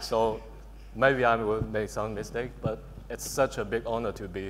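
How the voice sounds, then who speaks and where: With a Chinese accent, a man speaks at a fairly slow pace amid noticeable background noise. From China, Shanghai. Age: 20s. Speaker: electronic music producer and DJ. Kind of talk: panel discussion.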